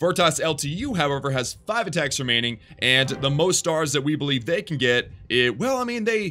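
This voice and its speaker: Over background music, a man with a fairly high pitch speaks at a fairly quick pace with lively intonation. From Texas. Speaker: gaming streamer. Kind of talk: live stream commentary reading chat. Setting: live stream. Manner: casual, animated.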